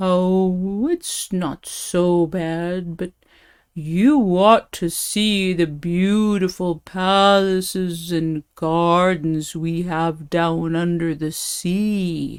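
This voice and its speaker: A woman in a put-on character voice speaks at a very slow pace with a fairly low pitch. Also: very clean recording, silent background. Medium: read story. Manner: smooth-talking.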